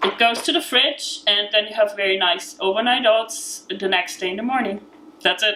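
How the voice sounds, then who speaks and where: In an Austrian accent, a woman talks at a moderate pace in a fairly high pitch. Her pitch varies in an ordinary way amid noticeable background noise. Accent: Austrian, still noticeable. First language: German. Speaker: vegan cookbook author. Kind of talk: cooking tutorial. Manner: halting, many fillers.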